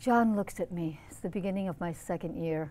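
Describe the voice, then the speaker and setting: This is a woman with an American accent. Her pitch variation is ordinary. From US Midwest, Wisconsin. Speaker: actress. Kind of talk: interview. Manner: animated storytelling. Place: studio. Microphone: lapel.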